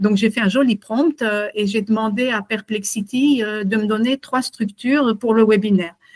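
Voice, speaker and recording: A woman speaks somewhat breathily at a fairly high pitch, with ordinary pitch variation and a moderate pace. The sound is dry and close, with no echo. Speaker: consultant and webinar presenter. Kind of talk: webinar presentation. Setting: video call webinar. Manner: halting, many fillers.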